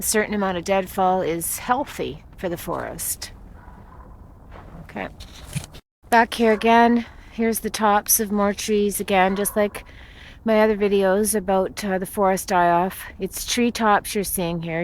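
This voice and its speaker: On a very clean recording with a silent background, a woman at medium pitch speaks at a fairly slow pace with long, frequent pauses and fairly even intonation. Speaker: amateur video blogger filming forest die-off. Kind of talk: walking narration of a home video. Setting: outdoors in woods. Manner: flat, subdued.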